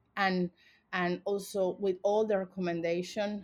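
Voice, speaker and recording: Speaking with a Spanish accent, a woman keeps her intonation fairly even. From Venezuela. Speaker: human rights organization director. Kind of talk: interview. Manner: halting.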